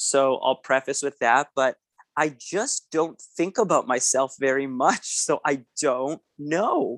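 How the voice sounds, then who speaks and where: A man with a Canadian accent speaks very slowly, with ordinary pitch variation and a dry, close sound with no echo. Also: fairly high pitch for a man, very even loudness. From Canada, Winnipeg, Manitoba. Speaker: event DJ and entertainer. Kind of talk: casual interview chat.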